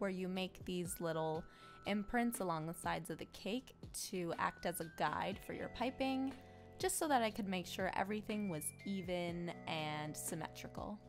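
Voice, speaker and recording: A woman talks fairly slowly with music in the background. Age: 20s. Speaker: cake decorator. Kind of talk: tutorial voiceover.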